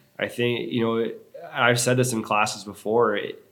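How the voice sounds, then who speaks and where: A man with an American accent talks at a moderate pace and medium pitch in a normal speaking voice. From US Northeast, Long Island, New York. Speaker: fitness coach. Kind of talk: casual chat.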